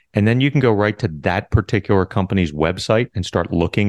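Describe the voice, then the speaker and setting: A man's unremarkable speaking voice, fairly low in pitch, at a moderate pace with ordinary pitch variation, dry and close with no echo, against a quiet background. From US Northeast, Philadelphia. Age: 50s. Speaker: Medicare insurance agent. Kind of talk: podcast interview.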